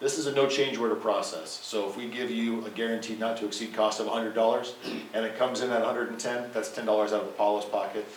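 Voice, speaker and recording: With audible room echo and noticeable background noise, a man of medium pitch talks at a very fast pace. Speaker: energy services company representative. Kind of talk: presentation to city council.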